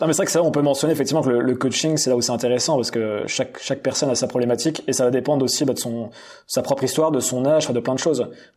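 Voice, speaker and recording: Very fast and with fairly even intonation, a man speaks at medium pitch. The recording is very clean, with a silent background. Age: 30s. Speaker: entrepreneur coach and content creator. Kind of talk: podcast interview. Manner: hesitant, repeats words.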